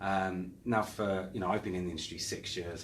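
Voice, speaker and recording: With an English accent, the somewhat breathy voice keeps fairly even intonation amid audible room echo. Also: man. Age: 40s. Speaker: property marketing director. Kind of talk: interview.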